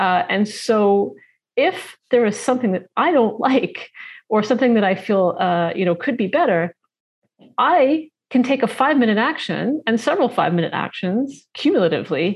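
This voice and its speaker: A woman with a Canadian accent, fairly high pitched and somewhat breathy, with very wide pitch swings at a moderate pace. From Canada, Toronto. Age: 40s. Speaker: nutrition coach and author. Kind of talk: casual chat.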